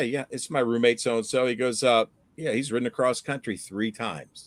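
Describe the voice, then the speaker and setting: Recorded dry and close with no echo, a man speaks in a normal speaking voice at a moderate pace and medium pitch with ordinary pitch variation. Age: 60s. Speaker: fishing channel host. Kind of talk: casual chat. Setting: live stream.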